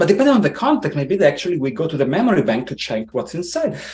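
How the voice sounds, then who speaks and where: A man's voice with very wide pitch swings, over noticeable background noise. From Italy. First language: Italian. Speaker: tech engineer, podcast guest. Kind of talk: interview conversation. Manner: hesitant, many fillers.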